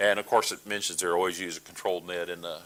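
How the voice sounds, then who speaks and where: With a Texas accent, a man talks in a bright, sharp tone. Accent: Texas drawl. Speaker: amateur radio trainer. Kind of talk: training presentation. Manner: halting, many fillers.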